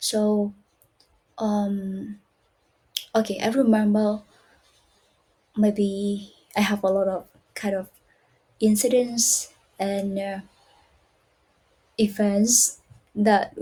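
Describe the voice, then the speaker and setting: With a dark, mellow tone and a somewhat breathy quality, a woman speaks in a flat monotone broken by long, frequent pauses. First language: not English. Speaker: English learner. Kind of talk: casual talk to camera.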